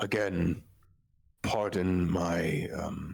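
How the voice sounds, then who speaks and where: A man puts on a raspy character voice at a very deep, low pitch with ordinary pitch variation. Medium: actual play. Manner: polite, hesitant, deferential.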